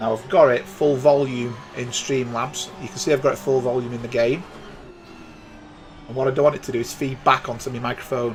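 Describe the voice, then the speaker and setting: With a British accent, the speech runs at a fairly quick pace with fairly even intonation and big swings in loudness, over noticeable background noise. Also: man, medium pitch for a man. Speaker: sim racing commentator. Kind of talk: live commentary. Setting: live stream.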